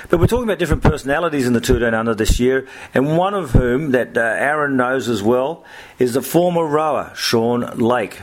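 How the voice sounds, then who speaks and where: Over noticeable background noise, a man talks at a medium pitch and a fairly quick pace. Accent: Australian. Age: 50s. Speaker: sports journalist and podcast host. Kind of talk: casual chat.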